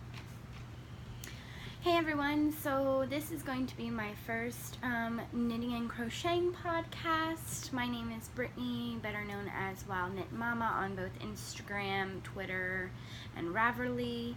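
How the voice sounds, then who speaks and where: A woman talks at a very slow pace with hardly any pauses. The recording has audible room echo and noticeable background noise. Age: 20s. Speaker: knitting podcaster. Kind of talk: casual chat. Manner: halting.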